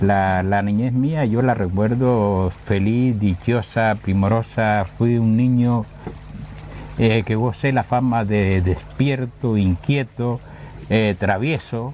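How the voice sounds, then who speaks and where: Over noticeable background noise, a man with a fairly low pitch and ordinary pitch variation talks at a very slow pace. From Canary Islands, Gran Canaria (Agüimes). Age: 70s. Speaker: retired teacher of language and literature. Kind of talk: interview.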